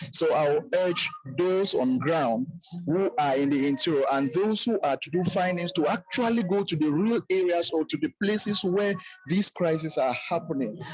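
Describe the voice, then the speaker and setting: Over music in the background, a man speaks at a moderate pace in a high pitch. His intonation is lively and his loudness very even. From Cameroon. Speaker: teacher, roundtable participant. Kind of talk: online roundtable comment.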